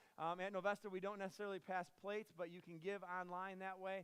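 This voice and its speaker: A man speaks at a very fast pace with fairly even intonation. His voice is high in pitch. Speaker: pastor. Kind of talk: church announcements. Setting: church service with congregation.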